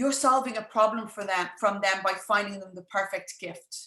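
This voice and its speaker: Her tone is bright and sharp, and she has an Irish accent. This woman's pitch varies in an ordinary way. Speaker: business coach. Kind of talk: live webinar masterclass. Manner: fast.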